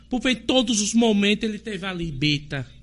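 With music playing in the background, the speaker talks at a moderate pace with ordinary pitch variation. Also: man. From Sergipe, Brazil (village near Tobias Barreto). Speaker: local politician and community health worker. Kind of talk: interview on live podcast.

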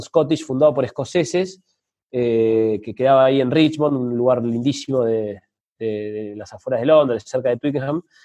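A man's voice at a medium pitch, with ordinary pitch variation. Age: 30s. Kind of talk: interview conversation. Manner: hesitant, many fillers.

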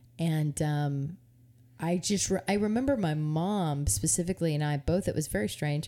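This woman has a very deep, low pitch, a dark, mellow tone and lively intonation, and she talks at a moderate pace. Her loudness stays very even on a very clean recording with a silent background. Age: 30s. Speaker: podcast co-host. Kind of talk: casual chat.

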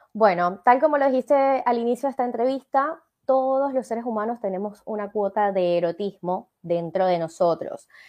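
A woman with a Venezuelan accent talks at a moderate pace with hardly any pauses. Her fairly high voice has lively intonation. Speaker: life coach and speaker. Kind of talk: interview on a live show.

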